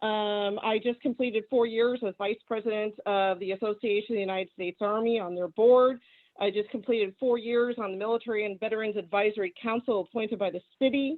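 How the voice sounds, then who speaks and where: A woman with an American accent speaks at a fairly high pitch and fairly quick pace, barely pausing. It is an unremarkable speaking voice, with fairly even intonation. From San Diego, California. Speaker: veteran, committee member. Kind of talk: meeting self-introduction.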